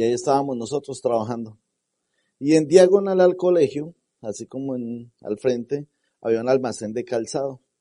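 Dark, mellow male tone at a moderate pace, with a dry, close sound and no echo. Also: medium pitch for a man, ordinary pitch variation. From Colombia. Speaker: network marketing leader. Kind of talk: motivational talk.

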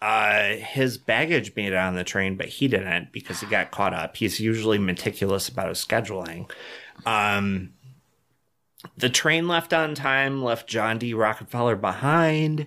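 On a very clean recording with a silent background, the speaker goes fairly slowly in an animated tone with lively intonation. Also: man, fairly low pitch for a man. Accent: American. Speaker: podcast co-host. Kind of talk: casual comedic chat. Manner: animated, joking.

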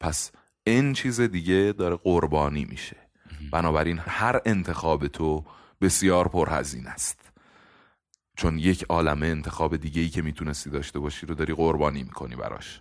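A man's very deep, low voice with vocal fry, ordinary pitch variation and a moderate pace, on a very clean recording with a silent background. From Iran. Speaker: podcast host. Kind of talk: casual chat.

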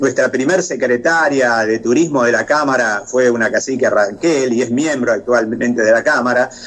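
A man with a Rioplatense accent, medium pitch and ordinary pitch variation, at a moderate pace with hardly any pauses, very even loudness, and noticeable background noise. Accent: Argentine Spanish (rioplatense, voseo). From Argentina, La Pampa province. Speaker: tourism chamber vice president. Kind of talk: interview.

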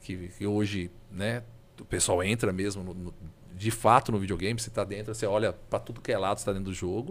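This man has a plain, everyday voice pitched fairly low. He talks at a fairly quick pace. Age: 40s. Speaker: video game collector. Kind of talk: casual chat.

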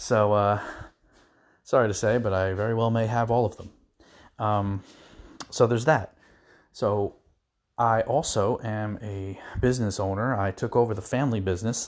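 With long, frequent pauses, a man talks at a moderate pace in a fairly low voice with fairly even intonation over a very clean recording and a silent background. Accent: New Jersey. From New Jersey, US. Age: 40s. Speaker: podcast host, contractor. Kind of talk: casual monologue.

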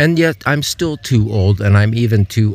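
Amid noticeable background noise, a man with an American accent speaks with very wide pitch swings. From US Midwest (Ohio). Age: 70s. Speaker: podcaster. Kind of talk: autobiographical monologue. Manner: halting.

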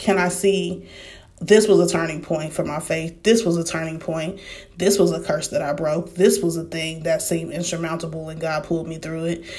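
A woman with a fairly low pitch, monotone, flat intonation and an American accent, at a moderate pace amid audible room echo. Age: 30s. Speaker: faith podcaster. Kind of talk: casual devotional talk.

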